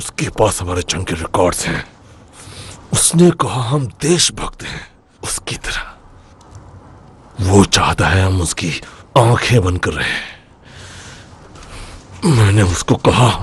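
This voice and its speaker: Pitched fairly low but swinging very widely, a man's put-on character voice moves at a fairly slow pace with long, frequent pauses. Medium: fan dub.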